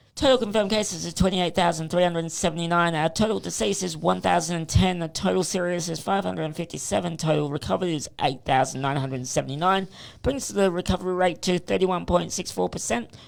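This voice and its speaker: Doing a put-on character voice, a man talks very fast in a high, raspy voice. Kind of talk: reading statistics.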